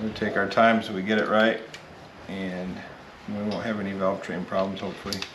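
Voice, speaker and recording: A man at a fairly quick pace, flat monotone intonation, noticeable background noise. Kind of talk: tutorial. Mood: patient, matter-of-fact. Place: garage. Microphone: phone near.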